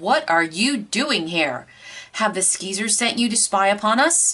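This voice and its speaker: Doing a gruff, put-on character voice, a woman speaks at a moderate pace in a medium pitch with very wide pitch swings. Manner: gruff, demanding.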